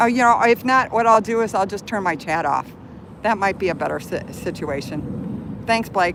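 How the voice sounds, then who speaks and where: A woman with an American accent speaks at a moderate pace in a medium pitch. Her pitch variation is ordinary, and there is noticeable background noise. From Chicago, US Midwest. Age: 60s. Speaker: live streamer. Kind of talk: live stream commentary. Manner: flustered, agitated.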